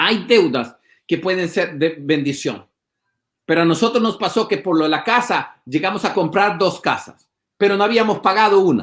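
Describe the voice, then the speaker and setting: A man's high pitch at a moderate pace with ordinary pitch variation, on a very clean recording over a silent background. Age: 50s. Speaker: pastor. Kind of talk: casual chat. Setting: livestream.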